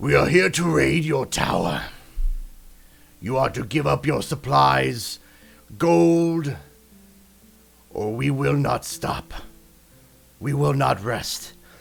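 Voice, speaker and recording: A man uses a put-on, gravelly character voice at a very slow pace. Long, frequent pauses break it up as music plays in the background. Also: medium pitch for a man. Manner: threatening.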